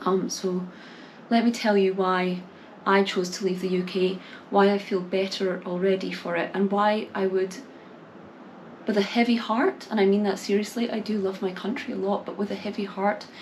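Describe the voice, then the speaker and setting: Speaking in a Scottish accent, a woman keeps a medium pitch and a moderate pace. Her intonation is monotone and flat, with noticeable background noise. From Scotland. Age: 20s. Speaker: English teacher and small YouTuber. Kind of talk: talking-to-camera vlog. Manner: hesitant, many fillers and repeats.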